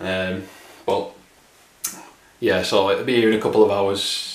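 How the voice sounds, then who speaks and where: A man talks at a moderate pace, with light background noise and audible room echo in the recording. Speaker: car vlogger. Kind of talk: casual vlog chat. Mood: a bit sad, wistful. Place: kitchen. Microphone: phone near.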